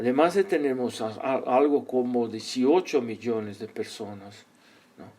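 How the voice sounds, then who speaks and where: Speaking with a Portuguese accent, a man at a medium pitch moves at a fairly slow pace, his intonation lively and his loudness swinging widely. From Brazil. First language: Portuguese (speaking Spanish). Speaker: psychologist and organizational consultant. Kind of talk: interview. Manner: halting.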